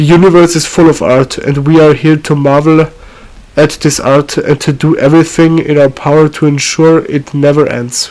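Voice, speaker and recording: A man with a fairly high voice delivers his words at a moderate speed in a monotone, flat intonation. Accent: non-native. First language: not English. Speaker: amateur video maker. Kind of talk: reading a script aloud. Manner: halting, frequent self-corrections.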